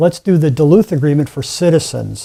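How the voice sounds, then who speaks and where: Dry and close with no echo, a man speaks at a fairly quick pace with a dark, mellow tone. His pitch is fairly high and his intonation fairly even. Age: 60s. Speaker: climate activist. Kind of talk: interview.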